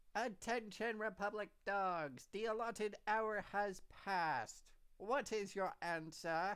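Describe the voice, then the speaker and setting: A female-sounding, put-on character voice with a medium pitch. It moves at a fairly slow pace. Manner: menacing, commanding.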